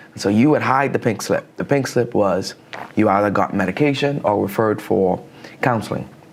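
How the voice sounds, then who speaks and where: A man with a Bahamian accent over noticeable background noise. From Bahamas. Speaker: counselor. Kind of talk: interview.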